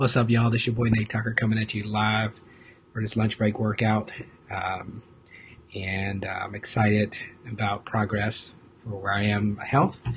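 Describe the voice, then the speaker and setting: A man whispers quietly at a moderate pace. Long, frequent pauses break up his speech. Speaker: fitness vlogger. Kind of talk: casual live video chat. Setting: office, live stream. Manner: quiet, almost whispering; hesitant, many fillers.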